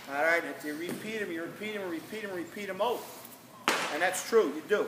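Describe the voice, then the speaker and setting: A man projects a raised voice at a high pitch with ordinary pitch variation. Audible room echo and noticeable background noise surround him. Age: 60s. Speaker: football coach. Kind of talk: motivational speech to players. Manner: animated.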